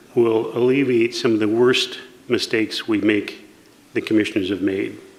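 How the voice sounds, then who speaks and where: A man at medium pitch amid noticeable background noise. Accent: American. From southern Oregon, US. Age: 60s. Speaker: county commissioner candidate. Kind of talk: candidate forum answer.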